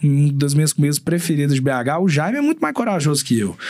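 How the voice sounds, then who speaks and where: A man rattles along at a very fast pace, his intonation lively. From Belo Horizonte, Minas Gerais, Brazil. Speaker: chef. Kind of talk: casual chat.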